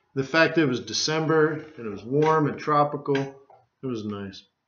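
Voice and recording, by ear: With audible room echo, a man speaks at a moderate pace and medium pitch, his fairly bright tone showing ordinary pitch variation.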